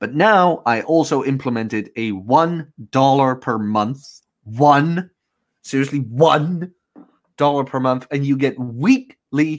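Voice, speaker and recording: A man with an unremarkable speaking voice, medium pitch and lively intonation, on a very clean recording with a silent background. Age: 20s. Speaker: podcast host. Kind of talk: casual chat. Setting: live video stream.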